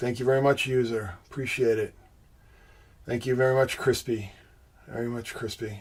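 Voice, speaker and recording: Speaking with a Boston accent, a man with a medium-pitched, somewhat breathy voice keeps a moderate pace and a flat, monotone intonation, broken by long, frequent pauses. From Boston, US. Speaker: livestream host, symbolism researcher. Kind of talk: live stream chat with viewers.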